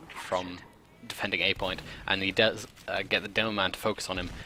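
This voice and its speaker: A man with a fairly low pitch talks at a fairly quick pace in a monotone, flat intonation, with noticeable background noise. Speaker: esports caster. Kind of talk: live commentary. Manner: fast.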